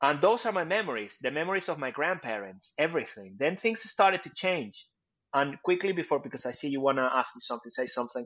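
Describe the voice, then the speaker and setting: A fairly high-pitched man with a Spanish accent, very fast and with very wide pitch swings, against a quiet background. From Venezuela. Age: 40s. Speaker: communication and public speaking coach. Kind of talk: casual interview chat. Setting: video call.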